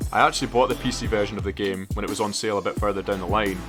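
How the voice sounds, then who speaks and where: Music plays behind a man with a Scottish accent and a fairly low pitch. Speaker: gaming YouTuber. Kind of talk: casual talk to camera, game commentary.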